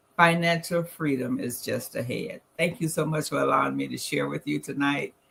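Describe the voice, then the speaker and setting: At a moderate pace, a woman speaks with a Southern US accent. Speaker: financial presenter. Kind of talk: presentation.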